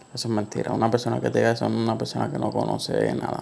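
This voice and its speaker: The speaker is a man talking at a very fast pace. Noticeable background noise sits behind his voice. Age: 20s. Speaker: podcast host. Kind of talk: solo monologue on anxiety. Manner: casual, hesitant with fillers.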